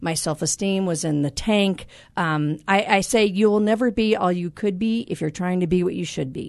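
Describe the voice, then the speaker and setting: Against a quiet background, a woman with a plain, everyday voice speaks at medium pitch and a moderate pace with ordinary pitch variation. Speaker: life coach. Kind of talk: casual interview chat. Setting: studio.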